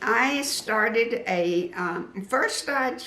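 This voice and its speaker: A woman is heard with audible echo from the room. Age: 70s. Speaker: quilting and decor YouTuber. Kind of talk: interview.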